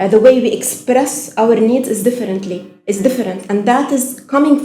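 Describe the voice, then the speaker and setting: A woman with a Lebanese accent talks at a fairly quick pace and a fairly high pitch, with ordinary pitch variation. Her tone is dark and mellow, and the room echo is audible. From Lebanon. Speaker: actress. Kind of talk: casual chat.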